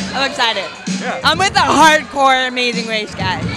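A woman with clear music in the background. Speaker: interviewee. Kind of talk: interview answer. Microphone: handheld.

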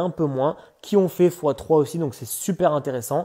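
Fairly high in pitch for a man, this man's voice has a dark, mellow tone. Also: quiet background. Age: 20s. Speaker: entrepreneur giving a customer testimonial. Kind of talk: testimony. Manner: casual, with hesitations. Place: home room. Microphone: earbuds.

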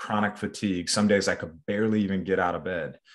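A man's voice with a fairly low pitch. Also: quiet background. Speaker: bone health coach. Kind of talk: interview conversation. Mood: earnest, personal. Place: home room. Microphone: video call.

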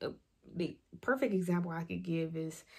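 Somewhat breathy, monotone, flat delivery at a fairly slow pace against a quiet background. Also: woman. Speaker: faith vlogger. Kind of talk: devotional talk, casual sermon. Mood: earnest, personal testimony. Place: home room. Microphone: phone near.

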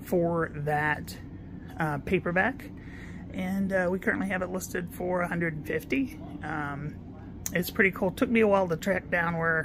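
Speech comes at a fairly slow pace with long, frequent pauses over noticeable background noise. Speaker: antique booth vendor. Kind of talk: casual vlog chat. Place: shop. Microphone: phone near.

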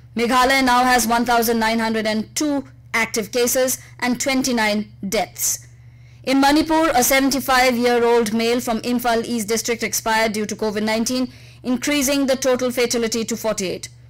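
With a high pitch and fairly even intonation, a woman talks at a fairly quick pace. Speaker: radio news reader. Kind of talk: radio news bulletin. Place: studio.

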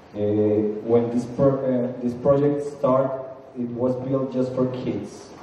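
A man speaks slowly at a medium pitch, with a dark, mellow tone and fairly even intonation. Strong room echo surrounds his voice.

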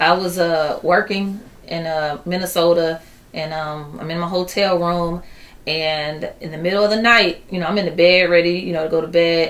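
A woman speaks at a moderate pace with an American accent, her pitch fairly low. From Chicago inner city. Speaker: poet and singer; poet. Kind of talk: interview. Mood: earnest, calm. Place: office.

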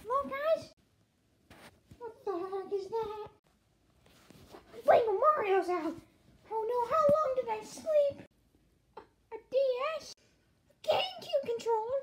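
A female-sounding cartoonish character voice, pitched extremely high, speaks at a fairly slow pace with long, frequent pauses. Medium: puppet. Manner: surprised, panicky.

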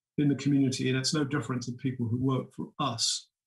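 Somewhat breathy speech with fairly even intonation against a quiet background. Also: man. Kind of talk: prepared keynote speech. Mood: calm, measured, serious. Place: home room. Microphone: webcam.

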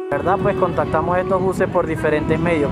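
A man speaks at a moderate pace with ordinary pitch variation. The sound is dry with no echo, though loud music plays in the background. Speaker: interviewee. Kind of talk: interview answer. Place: street.

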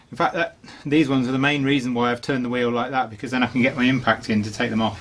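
A man speaks at a very fast pace and medium pitch, keeping his intonation fairly even. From UK. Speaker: DIY car mechanic. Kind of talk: tutorial. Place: garage.

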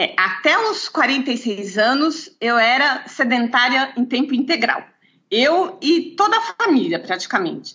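Speaking at a very slow pace, a woman uses a high pitch with very wide pitch swings and very even loudness. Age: 50s. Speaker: lawyer and natural bodybuilder. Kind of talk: interview. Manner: halting, with repetitions.

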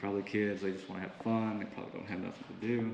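Over noticeable background noise, a man speaks at a very fast pace. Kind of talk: casual vlog commentary. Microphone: phone near.

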